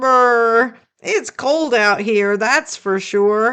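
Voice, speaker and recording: A woman's put-on character voice, fairly high in pitch, with ordinary pitch variation. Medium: read story. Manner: cheerful.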